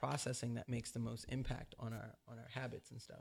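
Recorded very cleanly against a silent background, a man speaks at a fairly quick pace. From California. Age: 30s. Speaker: author and dancer. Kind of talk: interview.

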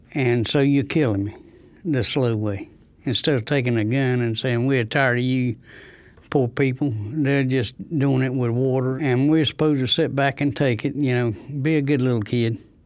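On a very clean recording with a silent background, a man of medium pitch speaks with fairly even intonation in an eastern North Carolina accent. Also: moderate pace. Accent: eastern North Carolina Southern. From North Carolina, Rosewood near Goldsboro. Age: 70s. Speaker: retiree affected by water contamination. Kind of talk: first-person testimony.

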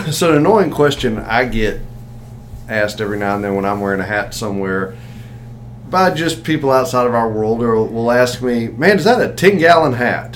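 Noticeable background noise sits under this man's Southern US accent. He speaks medium-pitched at a fairly quick pace with lively intonation. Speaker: podcast host. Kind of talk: casual chat.

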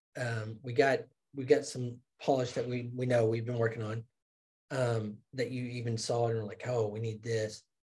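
Somewhat breathy and flat in a monotone, a man at medium pitch speaks at a moderate pace. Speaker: podcast co-host. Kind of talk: casual business discussion.

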